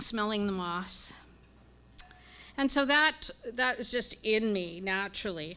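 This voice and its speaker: A woman speaks in a Canadian accent with a bright, sharp tone. Her pitch varies in an ordinary way. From Canada, Winnipeg, Manitoba. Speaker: religious sister and scientist. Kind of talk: public talk to live audience.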